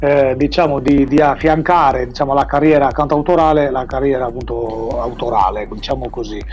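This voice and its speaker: Speaking with a Sardinian accent at a fairly quick pace with ordinary pitch variation, the voice comes through noticeable background noise. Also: man. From Sardinia, central (Bitti). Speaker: singer-songwriter. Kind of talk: interview. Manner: halting, many repetitions.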